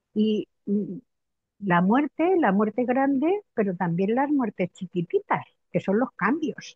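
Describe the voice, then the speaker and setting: A woman's fairly high voice at a very slow pace. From Spain, Madrid. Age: 70s. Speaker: biographical work practitioner. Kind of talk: interview conversation. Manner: hesitant, many repetitions.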